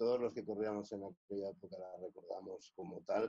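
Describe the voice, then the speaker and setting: Dry and close with no echo, a man's fairly low, dark, mellow voice moves at a fairly quick pace. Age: 60s. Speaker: former rally co-driver. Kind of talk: interview. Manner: halting, many fillers and repetitions.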